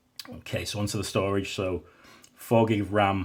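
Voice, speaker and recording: This man talks at a fairly slow pace in a fairly low pitch, his intonation monotone and flat. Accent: British. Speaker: tech reviewer. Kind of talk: product review. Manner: casual, with fillers.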